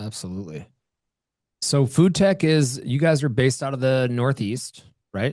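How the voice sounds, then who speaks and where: Using long, frequent pauses, a man with an American accent speaks at a moderate pace in a medium pitch with lively intonation. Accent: Wisconsin, comes out at times. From Wisconsin. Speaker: podcast host. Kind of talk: podcast interview.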